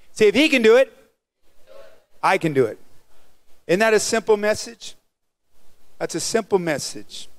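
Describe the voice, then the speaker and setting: Animated in tone, a man speaks at a high pitch with lively intonation, broken by long, frequent pauses. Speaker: preacher. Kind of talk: sermon. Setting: church with live congregation. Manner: animated call-and-response preacher, urging the congregation to repeat lines aloud; fast, exuberant delivery. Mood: calm prayer tone. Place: church. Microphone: handheld.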